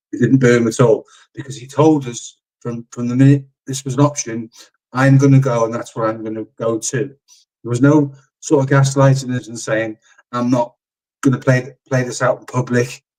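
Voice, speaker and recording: A man's medium-pitched voice in a Liverpool accent, moderate in pace, flat and monotone in intonation, with big swings in loudness. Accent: Scouse. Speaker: football content creator. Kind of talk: casual football discussion.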